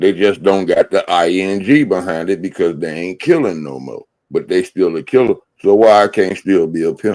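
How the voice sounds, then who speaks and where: A man speaks with a very deep, low pitch and ordinary pitch variation. His loudness swings widely at a moderate pace. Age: 50s. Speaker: livestream guest. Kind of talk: casual chat. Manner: animated.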